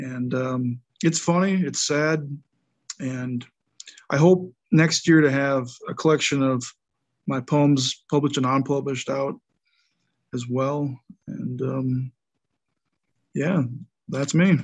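This man talks at a very slow pace with long, frequent pauses, his pitch fairly high for a man. His intonation stays fairly even, with an American accent. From Wisconsin, US. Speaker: author and poet. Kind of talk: casual interview chat.

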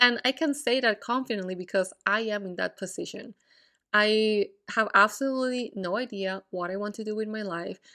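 The tone is bright and sharp, the pace moderate and the pitch variation ordinary, all in a very clean recording with a silent background. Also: woman, fairly high pitch for a woman. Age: 20s. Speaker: podcast host. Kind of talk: casual solo monologue. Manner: casual, frequent fillers and laughs.

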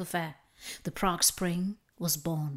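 A woman speaks at a moderate pace in a plain, everyday voice with ordinary pitch variation. The recording is very clean, with a silent background. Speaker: podcast host. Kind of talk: history documentary narration. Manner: formal, measured; earnest, solemn.

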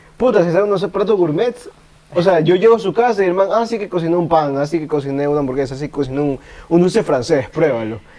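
A high-pitched man speaks at a very fast pace with lively intonation. Noticeable background noise is present. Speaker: podcast host. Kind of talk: casual chat.

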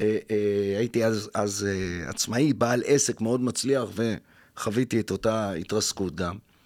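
A man talks at a fairly slow pace on a very clean recording with a silent background. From Israel, Jaffa. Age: 50s. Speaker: spiritual mentor and workshop leader. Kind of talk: interview. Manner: halting, many fillers.

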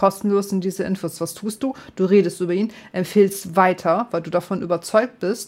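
A woman's plain, everyday voice of medium pitch, fairly even in intonation, at a moderate pace with hardly any pauses. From northern Germany. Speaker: gaming streamer. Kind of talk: casual chat.

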